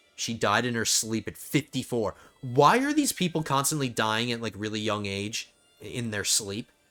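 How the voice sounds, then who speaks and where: Over music in the background, a man talks at a moderate pace and a medium pitch. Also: ordinary pitch variation. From New Jersey. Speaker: video game streamer. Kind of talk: casual gameplay commentary.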